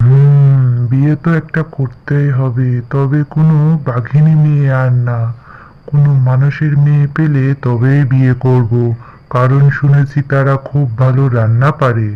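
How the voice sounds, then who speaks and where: A man's cartoonish character voice at medium pitch and a fairly slow pace. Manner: gruff, commanding.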